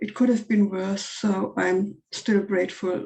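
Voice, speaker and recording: With a non-native accent, a woman speaks at a fairly slow pace in a medium-pitched voice with fairly even intonation. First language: not English. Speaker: workshop participant. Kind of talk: casual chat. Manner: halting.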